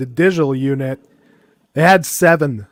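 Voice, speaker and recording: At a moderate pace, a man talks with a Quebec accent and ordinary pitch variation. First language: French. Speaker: podcast co-host. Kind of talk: casual chat.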